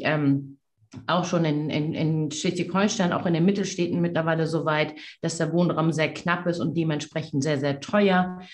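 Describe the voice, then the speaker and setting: Here is a woman with a normal speaking voice. She keeps a moderate pace and fairly even intonation. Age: 40s. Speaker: politician. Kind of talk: debate. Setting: video call. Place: office. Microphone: video call.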